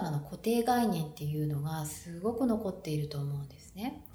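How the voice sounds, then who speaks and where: Somewhat breathy delivery with very wide pitch swings runs through this voice. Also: woman. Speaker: podcast host, mom entrepreneur and therapist. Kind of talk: solo podcast talk answering listener question. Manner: conversational, fillers, fluent.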